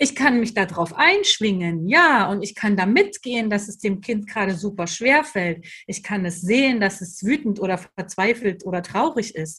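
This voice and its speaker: Bright and sharp in tone, the voice runs with lively intonation and hardly any pauses against a quiet background. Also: woman, medium pitch for a woman, moderate pace. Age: 30s. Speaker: educator and trainer for childcare staff. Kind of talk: interview.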